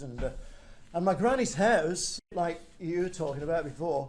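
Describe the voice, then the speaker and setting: A man with an English accent speaks at a fairly quick pace, with audible echo from the room. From northern England. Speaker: storyteller. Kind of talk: casual chat. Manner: halting.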